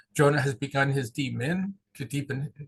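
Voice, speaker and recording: With an American accent, a man speaks with a fairly high pitch and fairly even intonation. His voice is somewhat breathy. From southeast Pennsylvania. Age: 60s. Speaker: pastoral consultant and seminary teacher. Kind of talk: interview. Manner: halting, many repeated words.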